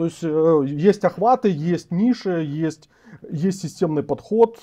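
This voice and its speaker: Against a quiet background, a man with a high pitch and a dark, mellow tone talks fairly slowly with lively intonation. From Ukraine. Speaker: political commentator and host. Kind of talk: live interview. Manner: halting. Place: home room. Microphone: lapel.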